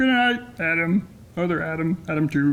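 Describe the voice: Pitched in the middle range, a put-on character voice sounds croaky and nasal at a moderate pace.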